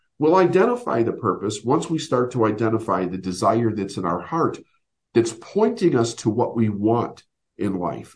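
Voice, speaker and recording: Somewhat breathy, this man speaks at a medium pitch and a moderate pace. His pitch swings very widely. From Chicago area, US Midwest. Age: 50s. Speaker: business coach. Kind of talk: interview.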